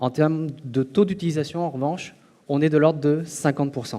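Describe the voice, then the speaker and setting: A man's dark, mellow, fairly high voice at a moderate pace. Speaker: conference speaker on eye tracking. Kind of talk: conference talk. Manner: loud; hesitant with fillers.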